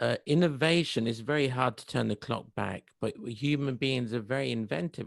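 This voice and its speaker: At a fairly slow pace, a man uses an ordinary speaking voice with ordinary pitch variation. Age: middle-aged. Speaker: interviewer. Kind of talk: interview.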